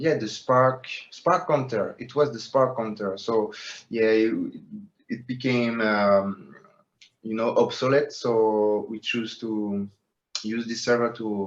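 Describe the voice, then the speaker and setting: Speaking at a very slow pace, a man leaves long, frequent pauses. His medium-pitched voice holds a fairly even intonation. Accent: French. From France, Paris. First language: French. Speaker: metaverse project co-founder. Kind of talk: interview. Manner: halting, many fillers.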